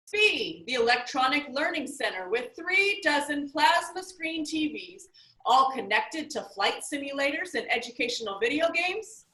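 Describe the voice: A woman performs a put-on character voice, pitched high with a bright, sharp tone and big swings in pitch. She speaks at a moderate pace, and the room echo is audible.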